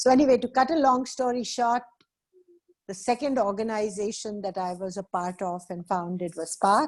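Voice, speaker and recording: Using a normal speaking voice, a woman with fairly high pitch talks at a moderate pace with ordinary pitch variation. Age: 60s. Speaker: social entrepreneur and activist. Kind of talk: webinar talk.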